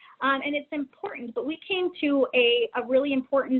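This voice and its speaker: With an American accent, a woman speaks at a moderate pace in a high pitch, her intonation lively. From Texas, San Antonio. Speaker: domestic violence policy coordinator. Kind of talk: webinar presentation. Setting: online webinar. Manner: halting, many fillers.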